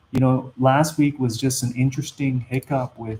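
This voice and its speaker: Somewhat breathy speech at a fairly slow pace. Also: man. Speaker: investing YouTuber. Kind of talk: live stream Q&A. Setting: live stream. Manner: hesitant, many fillers.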